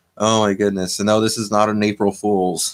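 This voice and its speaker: In a normal speaking voice, a man talks at a moderate pace with fairly even intonation. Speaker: livestream host. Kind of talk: casual live chat reading comments. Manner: casual, rambling.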